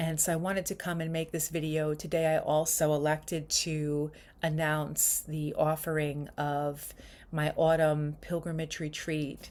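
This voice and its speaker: In a New York accent, the speech runs in a flat monotone on a very clean recording with a silent background. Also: woman, very deep, low pitch for a woman. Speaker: spiritual retreat leader. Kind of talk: casual vlog monologue. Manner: casual with many fillers.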